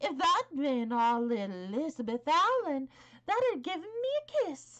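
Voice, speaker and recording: Putting on a character voice, a woman speaks high and at a moderate pace, her pitch swinging very widely. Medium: read story. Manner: blunt, hearty, homely.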